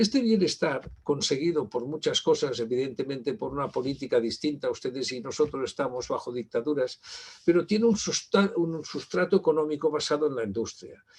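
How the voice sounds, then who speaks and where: A man talks at a fairly quick pace in a fairly high pitch. His intonation is lively. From Spain. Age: 60s. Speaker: university library director, keynote speaker. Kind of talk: conference keynote lecture. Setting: virtual conference. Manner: halting, many fillers.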